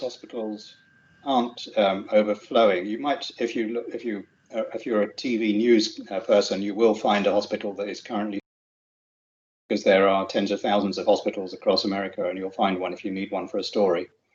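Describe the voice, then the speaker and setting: A man talks at a fairly quick pace in a normal speaking voice. His pitch variation is ordinary. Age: 50s. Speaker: finance expert and invited speaker. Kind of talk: answering audience question.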